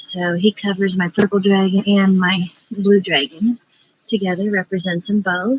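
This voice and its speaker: A woman whispers in a dry, close sound with no echo. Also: moderate pace. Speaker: psychic livestreamer. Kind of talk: casual livestream chat. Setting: outdoors in backyard at night. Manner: whispering.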